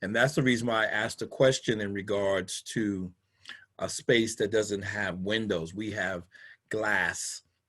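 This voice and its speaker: This man speaks fairly slowly in a plain, everyday voice, with fairly low pitch and fairly even intonation. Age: 60s. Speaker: pastor. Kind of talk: casual chat. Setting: video call.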